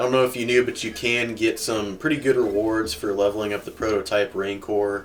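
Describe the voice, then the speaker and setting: A man with an American accent speaks in a relaxed tone. His pace is fairly quick, and there is noticeable background noise. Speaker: gaming YouTuber. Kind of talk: gameplay commentary. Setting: home room, cold. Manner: casual, relaxed.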